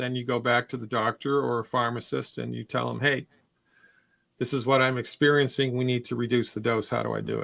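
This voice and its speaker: At a fairly quick pace, a man speaks in a medium-pitched voice with monotone, flat intonation. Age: 60s. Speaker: naturopathic doctor answering health questions. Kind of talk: call-in health Q&A. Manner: casual, repetitive restarts.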